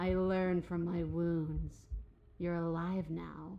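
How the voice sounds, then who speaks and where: A growling, put-on character voice at a fairly slow pace over clear background noise. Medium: video game. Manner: growling, predatory.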